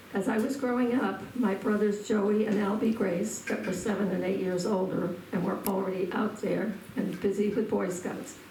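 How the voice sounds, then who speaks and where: A woman with an American accent talks with hardly any pauses and fairly even intonation. Audible room echo and noticeable background noise fill the recording. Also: medium pitch for a woman, moderate pace, very even loudness. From Massachusetts North Shore, Cape Ann (Lanesville). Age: 80s+. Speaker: local elder sharing memories. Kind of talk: reminiscence, partly read from notes.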